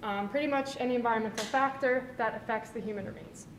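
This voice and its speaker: At a very fast pace, a woman with fairly high pitch and fairly even intonation talks over noticeable background noise and audible room echo. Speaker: forensic anthropology researcher presenting thesis. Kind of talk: conference talk. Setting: symposium with live audience. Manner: quiet.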